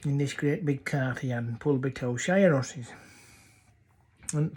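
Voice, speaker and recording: A medium-pitched man with a North Yorkshire accent, somewhat breathy, at a moderate pace, on a very clean recording with a silent background. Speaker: dialect storyteller. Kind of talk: humorous dialect story.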